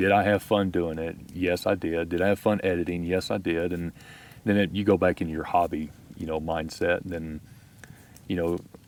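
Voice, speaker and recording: In a Texas accent, a man speaks with a very deep, low pitch and monotone, flat intonation. His pace is moderate. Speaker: outdoor YouTuber. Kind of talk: casual chat. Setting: outdoors.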